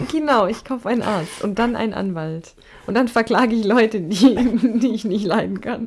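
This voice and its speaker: A woman is speaking. Her pitch moves an ordinary amount, and background noise is noticeable. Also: fairly high pitch for a woman, moderate pace. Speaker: podcast co-host. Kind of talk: casual chat.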